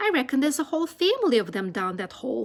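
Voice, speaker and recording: A woman puts on a character voice at a high pitch with very wide pitch swings. She speaks at a very fast pace. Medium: read story.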